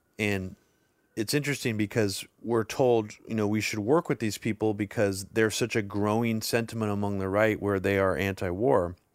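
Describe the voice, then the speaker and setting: Recorded very cleanly with a silent background, a man with a plain, everyday voice speaks at a fairly low pitch and moderate pace with fairly even intonation. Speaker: podcast host. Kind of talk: casual discussion podcast.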